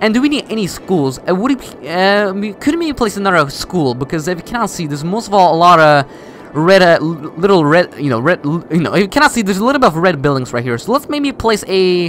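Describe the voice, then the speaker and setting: A man with a non-native accent, high-pitched, very fast, with very wide pitch swings, hardly any pauses and noticeable background noise. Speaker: gaming youtuber. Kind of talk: gameplay commentary. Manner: halting; casual.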